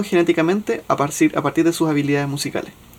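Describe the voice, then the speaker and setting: Speaking with a Chilean accent, a man with a fairly high pitch talks at a fairly quick pace. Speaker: podcast co-host. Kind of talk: casual chat.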